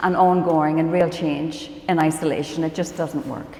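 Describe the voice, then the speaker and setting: Moderate pace from a woman amid noticeable background noise and audible room echo. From Northern Ireland. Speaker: professor and biomedical scientist. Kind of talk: conference panel talk. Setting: conference stage with audience.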